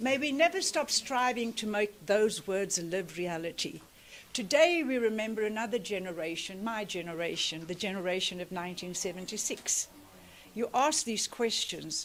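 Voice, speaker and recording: Her pitch medium and her intonation lively, a woman talks at a moderate pace. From South Africa, Cape Flats (Cape Town). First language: Afrikaans. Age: 60s. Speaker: activist speaker. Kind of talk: commemorative speech.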